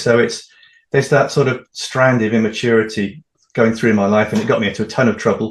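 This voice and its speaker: This man talks at a very fast pace in a medium pitch. His intonation is monotone and flat. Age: 60s. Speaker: author. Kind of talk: interview. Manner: fast in places.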